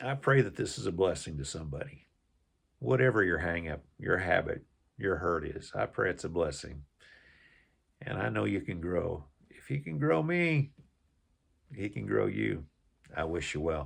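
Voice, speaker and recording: A man's very deep, low voice with vocal fry, very wide pitch swings and long, frequent pauses, over a quiet background. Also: moderate pace. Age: 60s. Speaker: YouTuber sharing faith and life lessons. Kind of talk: personal testimony. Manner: halting.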